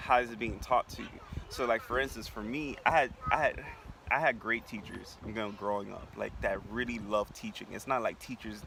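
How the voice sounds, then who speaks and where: A man talking at a fairly quick pace over noticeable background noise. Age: 20s. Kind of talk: interview. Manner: stammering.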